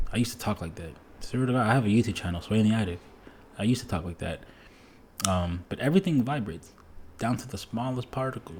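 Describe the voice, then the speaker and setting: At a very fast pace, a man with a medium pitch speaks in a somewhat breathy voice with lively intonation. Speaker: music producer. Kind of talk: casual monologue. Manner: casual, filler-heavy.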